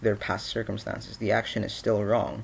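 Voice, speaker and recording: This man speaks at a moderate pace and medium pitch. His voice has vocal fry. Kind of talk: casual opinion vlog to camera. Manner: stuttering, rambling; frequent filler 'you know'.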